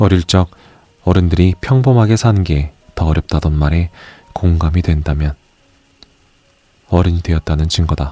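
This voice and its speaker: In a calm tone, a man with a very deep, low voice speaks at a moderate pace with ordinary pitch variation, very even loudness and long, frequent pauses, in a dry, close sound with no echo. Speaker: audiobook narrator. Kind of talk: audiobook reading of essays. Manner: soft-spoken, calm.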